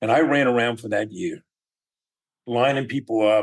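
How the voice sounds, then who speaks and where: A man speaks at medium pitch and a moderate pace. He has a normal speaking voice. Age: 60s. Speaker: entrepreneur. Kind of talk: interview.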